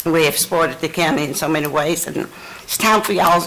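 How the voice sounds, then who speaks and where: With a Virginia accent, a woman talks at a fairly quick pace and a fairly low pitch over noticeable background noise. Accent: Southern US (Virginia). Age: 70s. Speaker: retired resident speaking at public hearing. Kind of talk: public comment at county meeting.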